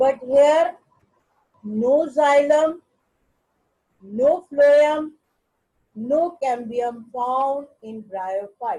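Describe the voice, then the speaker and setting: A woman speaks at a very slow pace, with a high pitch and a dark, mellow tone. Her pitch variation is ordinary, and her pauses are long and frequent. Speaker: biology teacher. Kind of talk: lecture. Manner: repetitive.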